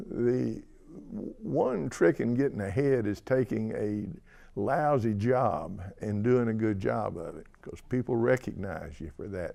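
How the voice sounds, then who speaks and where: With a Tennessee accent, a man talks at a medium pitch in a dark, mellow tone, his intonation lively and his loudness swinging widely. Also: fairly slow pace. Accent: Southern US (Tennessee). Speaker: person who stutters. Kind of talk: interview testimony. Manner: stutter.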